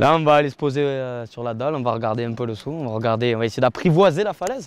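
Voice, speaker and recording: This man talks very fast at a medium pitch. His pitch moves up and down in an ordinary way. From Marseille, southern France. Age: 20s. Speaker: cliff diver. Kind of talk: interview. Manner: casual, hesitant with fillers.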